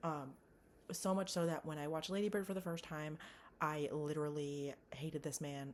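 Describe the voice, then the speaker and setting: A woman with a very deep, low pitch sounds animated in tone and talks at a fairly quick pace broken by long, frequent pauses. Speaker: movie reviewer vlogger. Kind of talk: casual monologue vlog. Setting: home bedroom. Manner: fast. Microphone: laptop mic, poor audio.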